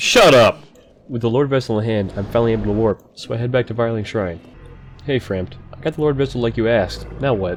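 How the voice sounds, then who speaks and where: Music plays behind a man talking at a very fast pace. His voice is medium in pitch with ordinary variation. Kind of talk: gaming commentary voiceover. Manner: casual, joking.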